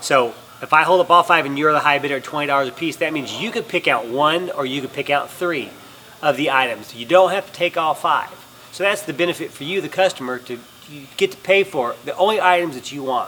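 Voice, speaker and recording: Over noticeable background noise, a man with a fairly high pitch speaks fairly quickly, his pitch varying in an ordinary way and his loudness swinging widely. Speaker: auctioneer. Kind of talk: explaining auction terms and presenting items to camera. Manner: clear, friendly, explanatory.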